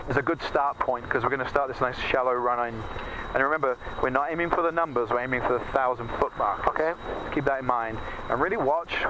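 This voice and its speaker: A man talks at a very fast pace with fairly even intonation over noticeable background noise. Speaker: flight instructor. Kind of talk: in-flight instruction. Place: plane. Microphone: headset.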